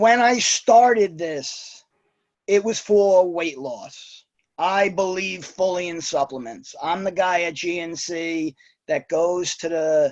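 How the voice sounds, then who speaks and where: Speaking with a New York accent, a man uses a high pitch and ordinary pitch variation at a very slow pace. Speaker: network marketer with Wall Street job. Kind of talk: testimony. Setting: video call.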